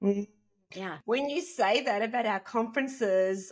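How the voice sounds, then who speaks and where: A woman with an Australian accent, in a very clean recording with a silent background. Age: 50s. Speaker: podcast co-host. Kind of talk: casual chat.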